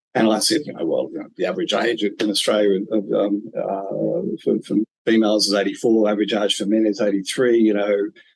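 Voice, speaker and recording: The pace is fairly quick. There are hardly any pauses. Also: man. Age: 60s. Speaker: business coach and podcast host. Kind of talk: interview conversation. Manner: halting, many fillers.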